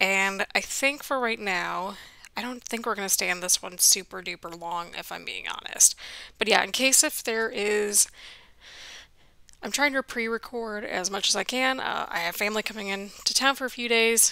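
Quiet and bright with a sharp tone, a woman speaks at a moderate pace with ordinary pitch variation. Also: medium pitch for a woman. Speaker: gaming youtuber. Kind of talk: let's play commentary. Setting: home at night, apartment building.

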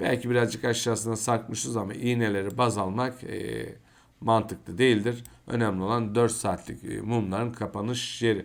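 A man speaks at a medium pitch with vocal fry. His intonation stays monotone and flat. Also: moderate pace. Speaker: crypto market commentator. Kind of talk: market analysis video. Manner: hesitant fillers.

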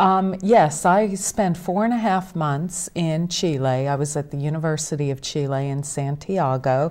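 A woman with a Pittsburgh accent and very deep, low pitch speaks at a fairly slow pace with hardly any pauses and ordinary pitch variation. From western Pennsylvania. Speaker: author; talk show guest. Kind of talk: casual interview. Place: studio.

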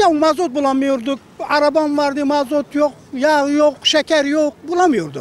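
A man's extremely high voice moves at a fairly slow pace with fairly even intonation and very even loudness, the sound dry with no echo. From Siirt, southeastern Turkey; Turkey. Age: 70s. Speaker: passer-by interviewee; interviewee. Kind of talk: street interview. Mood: complaining, recounting hardship. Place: street. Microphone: handheld.

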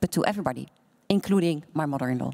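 A woman speaks with a Dutch accent. The background is quiet. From Netherlands. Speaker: bank chief executive; panelist. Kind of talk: panel discussion. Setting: stage with audience. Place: hall. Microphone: handheld.

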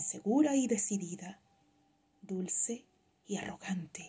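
Music can be heard in the background. A woman speaks fairly slowly. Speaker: poetry reader. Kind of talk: poem reading, read aloud with wistful, intimate delivery. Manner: slow, reflective, wistful.

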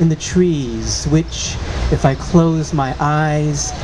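There is noticeable background noise as a man with an American accent talks at a very slow pace. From San Francisco, California. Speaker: poet. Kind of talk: poetry reading. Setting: outdoor public reading. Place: street. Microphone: studio mic.

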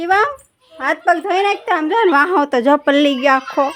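A woman with lively intonation. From rural Gujarat. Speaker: family vlogger, mother. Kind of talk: casual vlog.

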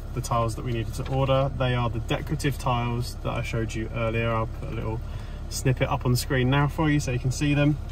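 Light background noise sits under a man's voice, and the sound is dry with no echo. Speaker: renovation vlogger. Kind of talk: casual vlog chat. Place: car. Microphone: phone near.

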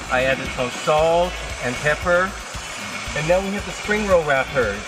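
A man speaks at a moderate pace over noticeable background noise. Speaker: cooking show host. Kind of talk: cooking tutorial. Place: garden.

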